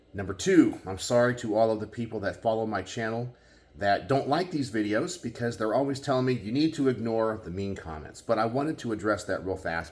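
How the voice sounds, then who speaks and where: Against audible room echo, a man with an American accent talks at a fairly quick pace, his fairly low voice carrying lively intonation. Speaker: gun channel YouTuber. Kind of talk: casual vlog monologue. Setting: garage.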